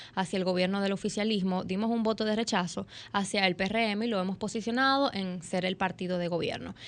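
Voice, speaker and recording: Over a quiet background, a woman with an ordinary speaking voice talks at medium pitch with fairly even intonation. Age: 20s. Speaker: young politician. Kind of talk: interview. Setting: studio.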